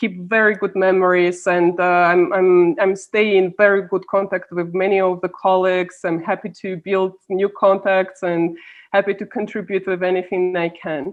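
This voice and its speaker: A woman speaks with a Russian accent at a moderate pace. Her pitch sits in the medium range. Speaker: policy analyst. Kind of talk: interview.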